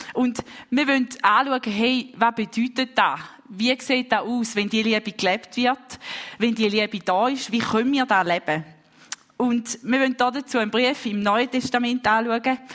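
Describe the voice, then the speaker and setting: A woman with a fairly high voice talks fairly slowly with fairly even intonation as noticeable background noise continues. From Switzerland, St. Gallen. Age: 20s. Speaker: preacher. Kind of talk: sermon.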